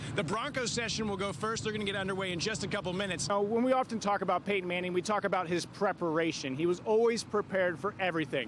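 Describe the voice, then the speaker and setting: A man with an American accent and a high pitch for a man, upbeat in tone, at a very fast pace with hardly any pauses, over noticeable background noise. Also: ordinary pitch variation. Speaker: news and sports anchor. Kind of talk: sports anchor segments and live shots. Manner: upbeat, conversational.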